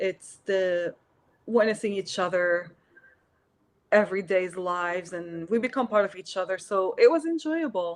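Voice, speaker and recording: Medium pitch from a woman with an Arabic accent. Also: ordinary pitch variation, moderate pace. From Syria. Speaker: artist. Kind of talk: interview. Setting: live stream video call.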